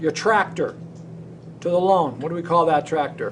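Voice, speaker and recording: A man with a high pitch and fairly even intonation, with audible room echo. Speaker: teacher. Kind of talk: lecture.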